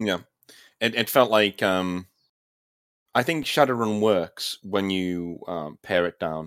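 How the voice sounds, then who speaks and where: Delivered at a very slow pace with long, frequent pauses, ordinary pitch variation and a British accent, the speech sits in a very clean recording with a silent background. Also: man, fairly low pitch for a man. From Britain. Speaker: gaming YouTuber and writer. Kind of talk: casual chat.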